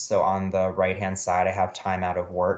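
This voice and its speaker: There is a quiet background behind this man's voice. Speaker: researcher. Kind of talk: presentation. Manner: fast.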